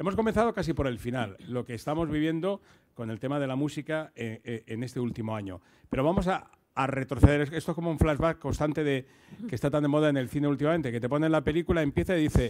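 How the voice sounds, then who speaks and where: A man's fairly high voice at a very fast pace against a quiet background. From Murcia, Spain; Spain. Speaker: radio host. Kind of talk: moderated talk. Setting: stage with audience. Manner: halting. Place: hall. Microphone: handheld.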